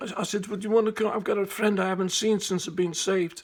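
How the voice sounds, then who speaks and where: A man speaks with a Liverpool accent at a high pitch. His delivery is very fast and monotone, with flat intonation. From Liverpool, England. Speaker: evangelist. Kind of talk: personal testimony to camera. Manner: casual, conversational.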